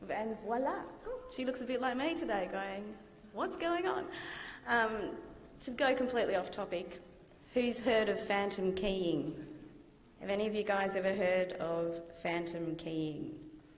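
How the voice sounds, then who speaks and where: Speaking in an Australian accent at a fairly slow pace, a woman with a medium pitch and lively intonation leaves long, frequent pauses, with audible room echo and music in the background. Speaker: guest lecturer, IT consultant. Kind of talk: lecture. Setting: lecture theatre with audience. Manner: hesitant, many fillers. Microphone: microphone problems, hard to hear at first.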